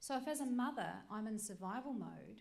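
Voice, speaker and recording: A woman speaks in an animated tone with lively intonation and vocal fry. Audible room echo surrounds her voice. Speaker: workshop presenter. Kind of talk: lecture. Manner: fast.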